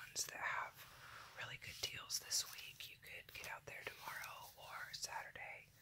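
The speaker is whispering. The pace is moderate. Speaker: coupon deal reviewer. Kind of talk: ASMR coupon review, whispered talk to camera. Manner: whispered. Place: home room. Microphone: phone near.

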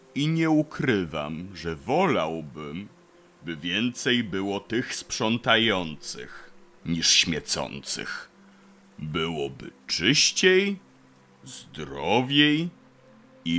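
A man puts on a gruff character voice with a very deep, low pitch. He speaks at a very slow pace. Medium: audio drama. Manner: very slow, measured; gruff, reserved.

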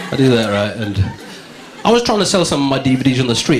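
A man's voice against noticeable background noise. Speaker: stand-up comedian. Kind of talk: stand-up comedy set. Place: stage. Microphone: handheld.

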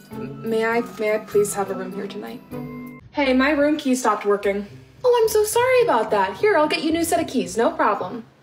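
A woman talks at a fairly quick pace. Faint music plays in the background. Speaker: guest. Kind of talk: acted comedy dialogue. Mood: exasperated, polite customer service tone. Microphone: phone near.

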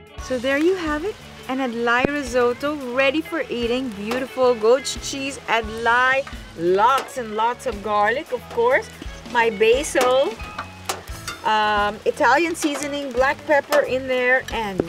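Over clear music in the background, a woman with a high pitch speaks at a fairly slow pace with ordinary pitch variation. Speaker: cooking show host. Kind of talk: tutorial. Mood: cheerful, enthusiastic. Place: waterside.

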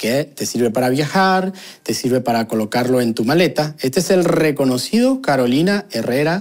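With a plain, everyday voice, a man talks at a fairly slow pace with lively intonation against a quiet background. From Venezuela. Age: 30s. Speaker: YouTuber, sociologist; vlogger. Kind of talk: video commentary. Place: home room. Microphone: lapel.

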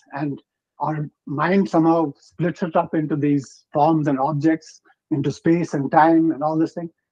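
A man with a fairly high pitch and a dark, mellow tone speaks in a monotone, flat way, leaving long, frequent pauses against a quiet background. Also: moderate pace. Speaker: book club member. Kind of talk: book club discussion. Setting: video call. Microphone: video call.

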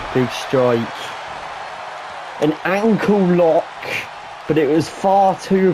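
A man's high voice at a very slow pace, very even in loudness, with long, frequent pauses and noticeable background noise. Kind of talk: live sports commentary.

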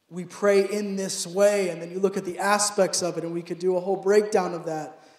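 A man's high-pitched, monotone, flat voice at a moderate pace, with audible room echo. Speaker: preacher. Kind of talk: sermon. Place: church. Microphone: handheld.

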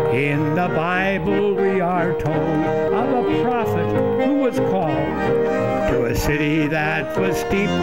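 Loud music plays in the background as a man speaks at a very slow pace. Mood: folksy, joking.

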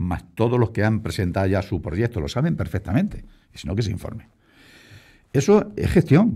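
A man speaks at a moderate pace in a dark, mellow tone that is somewhat breathy, with very wide pitch swings. The background is quiet. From Spain, Castilla-La Mancha (Puertollano). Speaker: local politician, deputy mayor. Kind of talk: radio interview. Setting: radio studio. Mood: defensive, argumentative. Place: studio. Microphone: studio mic.

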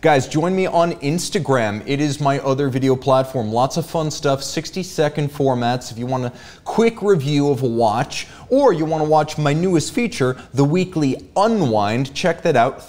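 Lively intonation carries this man's speech. He goes at a moderate pace with hardly any pauses. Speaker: show host. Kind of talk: live show hosting, greeting viewers. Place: studio. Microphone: studio mic.

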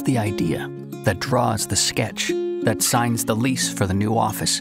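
Over loud music in the background, a man speaks at a very slow pace in a dry sound with no echo. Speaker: voice actor. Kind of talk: TV commercial read. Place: booth.

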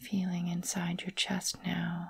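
Someone speaks at a very slow pace with music in the background. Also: woman. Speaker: meditation guide. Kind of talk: guided meditation. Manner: soft-spoken, slow, calming.

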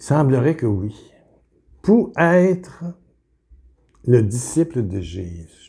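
Over a quiet background, a man speaks very slowly in a dark, mellow, somewhat breathy voice, with long, frequent pauses. His pitch swings very widely and his loudness shifts a great deal. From Quebec. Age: 70s. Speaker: preacher; religious teacher. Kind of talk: video sermon. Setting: home kitchen. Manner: animated. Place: home room. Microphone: webcam.

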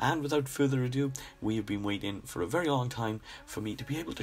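With music in the background, a man talks in very wide pitch swings. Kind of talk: painting tutorial voice-over. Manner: casual, friendly.

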